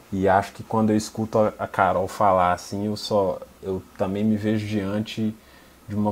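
A man with an unremarkable speaking voice, fairly low in pitch, at a moderate pace. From Minas Gerais. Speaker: filmmaker. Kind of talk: panel discussion.

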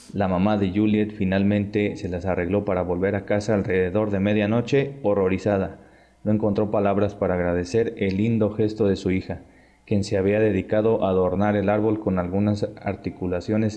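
A man with a Mexican accent and monotone, flat intonation. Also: fairly low pitch for a man, moderate pace. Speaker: podcast host. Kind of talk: reading aloud.

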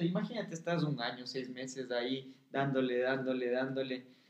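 The man's pitch shows ordinary variation. His pace is moderate. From Ecuador, Quito (highlands). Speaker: actor. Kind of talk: casual chat. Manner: animated.

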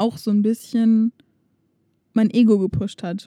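Speaking at a fairly slow pace, a woman uses a fairly high pitch and monotone, flat intonation, with a dry, close sound with no echo. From Germany. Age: 20s. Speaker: podcast co-host. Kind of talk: casual chat.

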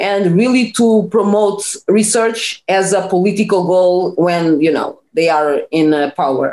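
In a Portuguese accent, a woman talks at a fairly slow pace with hardly any pauses, her pitch medium and its variation ordinary. Her tone is dark and mellow, and her loudness stays very even. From Portugal. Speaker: PhD scientist and former nurse. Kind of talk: interview conversation. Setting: video call.

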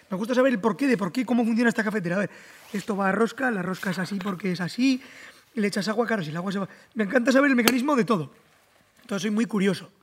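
Noticeable background noise accompanies a man talking very fast at a high pitch, with ordinary pitch variation. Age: 20s. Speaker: content creator and mechanic. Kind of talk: casual chat. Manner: exaggerated dubbing-style delivery.

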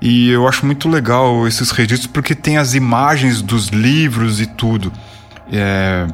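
Over noticeable background noise, a man talks at a fairly slow pace with medium pitch, ordinary pitch variation and very even loudness. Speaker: podcast host. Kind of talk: casual interview. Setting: online call recorded on Discord.

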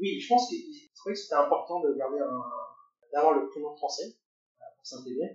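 A man speaks very slowly, his loudness swinging widely. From France. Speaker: engineer. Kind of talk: interview. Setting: at the host's home. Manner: halting.

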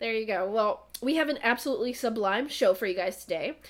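A woman with a normal speaking voice uses lively intonation at a fairly high pitch. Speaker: podcast host. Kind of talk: casual chat. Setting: remote recording.

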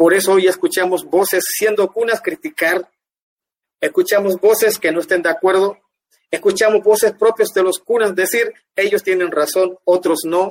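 A man's high-pitched voice at a moderate pace, fairly even in intonation, with a dry, close sound and no echo. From Panama, Guna Yala (Ustupu). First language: Guna (speaking Spanish). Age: 50s. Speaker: dance artist. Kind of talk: interview. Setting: livestream.

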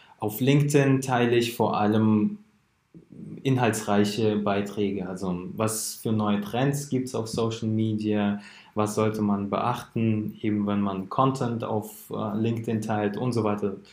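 A man's fairly low-pitched voice at a very slow pace, his intonation fairly even. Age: 20s. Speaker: founder of a social media marketing agency. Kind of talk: podcast interview.

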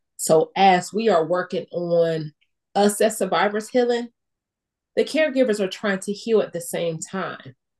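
This woman has a normal speaking voice at a medium pitch. She talks at a fairly slow pace with ordinary pitch variation. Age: young. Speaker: stroke survivor podcast host. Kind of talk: casual chat. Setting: video call.

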